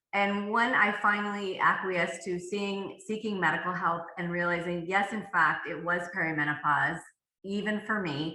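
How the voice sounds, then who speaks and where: A woman's medium-pitched voice at a moderate pace, ordinary pitch variation, audible room echo. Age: 60s. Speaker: author and fitness coach. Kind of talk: podcast interview. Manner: halting.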